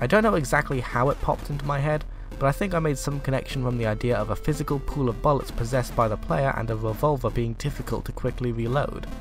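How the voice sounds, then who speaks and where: A man races along at a very fast pace with music in the background. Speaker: indie game developer. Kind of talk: video game devlog narration.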